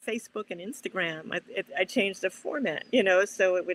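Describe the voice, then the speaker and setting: A woman's fairly quick, lively-toned speech in a dry, close sound with no echo. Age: 60s. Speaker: cartoonist. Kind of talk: interview. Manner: halting.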